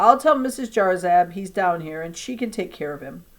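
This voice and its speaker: A woman's raspy put-on character voice at medium pitch, moderate pace and with very wide pitch swings. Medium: read story. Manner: brisk, commanding.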